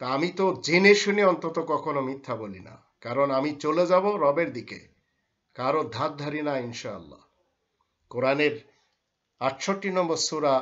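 A man talks with ordinary pitch variation. His volume swings a lot against a quiet background. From Bangladesh. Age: 50s. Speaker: Islamic scholar. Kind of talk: religious lecture. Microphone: webcam.

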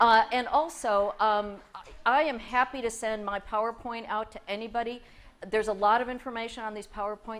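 Fairly even intonation from a female speaker at a medium tempo. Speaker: presenter. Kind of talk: conference presentation. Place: hall.

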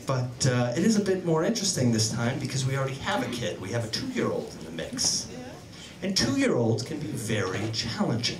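Over noticeable background noise, the voice moves at a fairly quick pace with very wide pitch swings. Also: man. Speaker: stand-up comedian. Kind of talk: stand-up comedy, bawdy storytelling with acted-out voices of his wife. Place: stage. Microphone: handheld.

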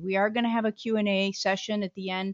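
A woman speaks at a moderate pace in a dry recording with no echo and a quiet background. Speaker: webinar host, moderator. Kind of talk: webinar housekeeping announcements. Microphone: video call.

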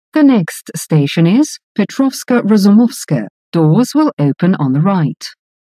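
Over a very slow pace, a woman's voice has a dark, mellow tone and very wide pitch swings, with a dry, close sound and no echo. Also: medium pitch for a woman, very even loudness. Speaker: metro announcer. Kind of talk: recorded transit announcements. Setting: subway train PA system. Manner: formal.

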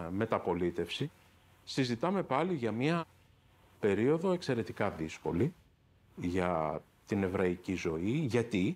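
A man speaks at a very slow pace. His pitch swings very widely. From Greece, Athens (Patisia); Greece. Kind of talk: interview testimony. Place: office. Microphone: lapel.

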